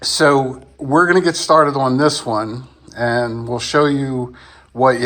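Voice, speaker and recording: At a very slow pace, a man talks with medium pitch and ordinary pitch variation. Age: 60s. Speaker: DIY car repair video maker. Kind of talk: tutorial. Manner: casual, halting.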